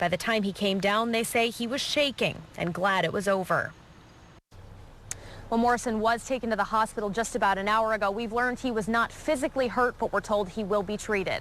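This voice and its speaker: A woman with an American accent talks at a fairly quick pace in a normal speaking voice. Her pitch is fairly high, with ordinary variation. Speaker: TV news reporter and fill-in anchor. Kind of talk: TV news reporter delivery.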